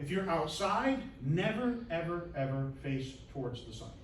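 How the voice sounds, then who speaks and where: A man at a fairly slow pace, with very wide pitch swings, noticeable background noise and audible room echo. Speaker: instructor. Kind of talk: lecture. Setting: lecture room. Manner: enunciating, projecting.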